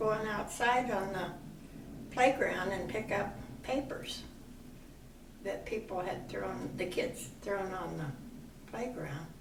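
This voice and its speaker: Noticeable background noise and audible room echo surround the recording. A woman speaks very slowly. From US Midwest, Iowa. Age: 80s+. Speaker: grandmother interviewed about her life. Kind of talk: oral history interview.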